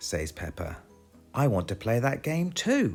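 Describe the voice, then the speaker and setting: Over music in the background, an upbeat voice with a British accent makes very wide pitch swings. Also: man. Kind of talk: children's picture book read-aloud. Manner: upbeat, friendly.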